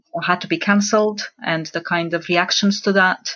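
In a Romanian accent, a woman talks at a medium pitch with monotone, flat intonation. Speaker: religious studies lecturer. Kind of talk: panel discussion.

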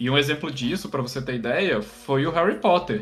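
Using an ordinary speaking voice, a man with a fairly high pitch talks at a moderate pace with lively intonation. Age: 20s. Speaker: podcast host and editor. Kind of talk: casual chat.

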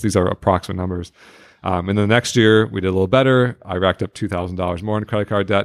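Over a very clean recording with a silent background, a man with an American accent talks at a very fast pace in a very deep, low pitch, his intonation fairly even and the sound dry and close with no echo. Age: 30s. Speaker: personal finance educator, retired entrepreneur. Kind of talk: interview.

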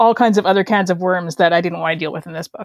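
At a very fast pace, a woman talks at a medium pitch with fairly even intonation. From Canada. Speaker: novelist. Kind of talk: casual interview chat.

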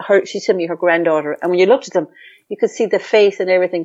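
In an Irish accent, a woman speaks with a fairly low pitch and fairly even intonation. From Ireland. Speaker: psychotherapist and healer. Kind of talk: interview.

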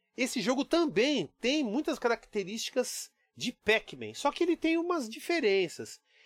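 With very wide pitch swings and a moderate pace, a man talks in a dry, close sound with no echo. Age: 40s. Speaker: podcast host. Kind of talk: solo podcast monologue.

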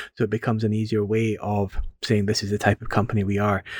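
Speaking with a Scottish accent at a very fast pace, a man has a fairly low pitch and monotone, flat intonation, on a very clean, dry, close recording with no echo and a silent background. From Scotland. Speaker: community garden manager. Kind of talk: podcast interview.

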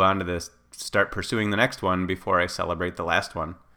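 A bright, sharp tone at a fairly quick pace, with fairly even intonation. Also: man. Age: 40s. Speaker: fitness writer and podcaster. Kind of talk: reading aloud.

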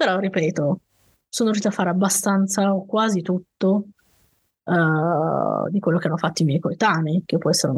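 Somewhat breathy and medium in pitch, a woman speaks at a moderate pace with fairly even intonation, the sound dry and close with no echo. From Piedmont, Italy (valley near Turin). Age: 30s. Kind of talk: interview storytelling.

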